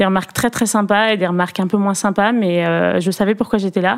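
At a fairly quick pace, a woman with a plain, everyday voice speaks at a medium pitch and with fairly even intonation. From Perpignan, southern France. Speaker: former modern pentathlete, Olympic organizing staff. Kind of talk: interview.

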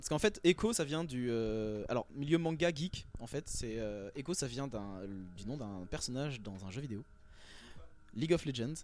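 A man talks at a fairly slow pace with long, frequent pauses and a medium pitch. His pitch swings very widely and his loudness rises and falls sharply, on a very clean recording with a silent background. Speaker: rapper. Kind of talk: casual radio interview. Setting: backstage at concert venue.

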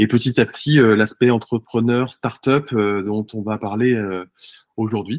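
The sound is dry and close, with no echo. The speech comes at a very slow pace. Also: man, medium pitch for a man. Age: 40s. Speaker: startup founder. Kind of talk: interview. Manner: animated.

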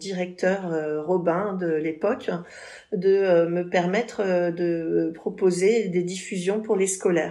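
Monotone, flat intonation from a woman, her voice medium in pitch and dark, mellow in tone. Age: 50s. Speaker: cultural festival director. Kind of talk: interview.

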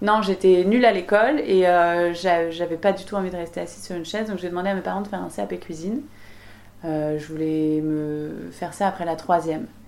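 With a normal speaking voice, a woman talks at a fairly quick pace in a fairly low pitch, using ordinary pitch variation and big swings in loudness. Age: 30s. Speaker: chef and restaurant owner. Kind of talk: interview. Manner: casual, lively.

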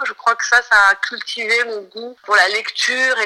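A woman with a fairly high voice talks fairly slowly and with fairly even intonation while noticeable background noise plays. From France, Marseille. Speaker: songwriter and novelist. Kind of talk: interview.

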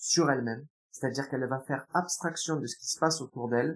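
Somewhat breathy, a man speaks at a very fast pace. His pitch is fairly high and his intonation fairly even. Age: 20s. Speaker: hypnotherapist. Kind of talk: interview.

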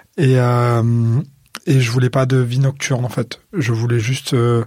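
Somewhat breathy, a man speaks at a moderate pace and a medium pitch. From Marseille, France. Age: 20s. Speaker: DJ and sound designer. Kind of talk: casual interview storytelling. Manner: spontaneous, outspoken.

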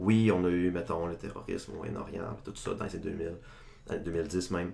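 Audible room echo surrounds the recording. A man speaks at a moderate pace with ordinary pitch variation. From Quebec, Saguenay (Chicoutimi). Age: 20s. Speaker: political science student. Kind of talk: casual podcast discussion.

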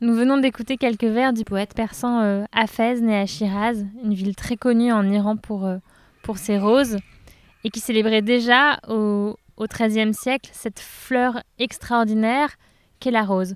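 In an unremarkable speaking voice, a woman talks at a fairly high pitch and a fairly slow pace with fairly even intonation, in a dry, close sound with no echo. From France, Touraine. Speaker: podcast host. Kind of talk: interview. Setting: outdoors in a garden.

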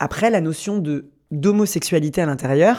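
A man speaks with ordinary pitch variation in a very clean recording with a silent background. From Paris, France. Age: 30s. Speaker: choreographer and artist. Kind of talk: personal testimony interview. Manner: hesitant, repeats words.

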